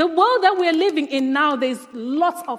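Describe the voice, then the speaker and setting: Her intonation is lively. A woman is talking. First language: not English. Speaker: guest preacher. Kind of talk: sermon. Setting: church.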